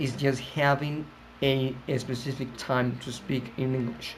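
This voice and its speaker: This man speaks with a Colombian accent. His pace is very slow and his intonation fairly even. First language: Spanish. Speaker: English teacher. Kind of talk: casual talk to camera. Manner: hesitant, many fillers.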